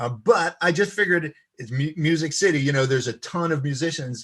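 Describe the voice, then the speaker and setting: A man talks with an American accent and ordinary pitch variation. The background is quiet. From US East Coast. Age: 60s. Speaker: violinist and composer. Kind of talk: interview. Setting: live-streamed video chat. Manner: hesitant, many fillers.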